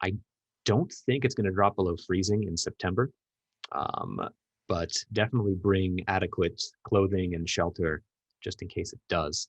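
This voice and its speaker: The loudness rises and falls sharply. The sound is dry and close, with no echo. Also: man, fairly low pitch for a man, ordinary pitch variation. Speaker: event organizer running a workshop. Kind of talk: online meeting presentation. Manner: fast.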